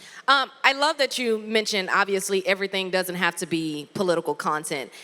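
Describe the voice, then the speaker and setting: With an animated tone and a Southern US accent, a woman talks at a fairly quick pace in a medium pitch with a bright, sharp tone and ordinary pitch variation. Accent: Southern, country. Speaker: former TV news anchor and content creator. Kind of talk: workshop presentation.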